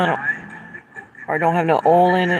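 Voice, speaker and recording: Noticeable background noise accompanies a woman speaking in a Southern US accent at a fairly low pitch. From US South. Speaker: livestreamer. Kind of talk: casual chat. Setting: outdoors.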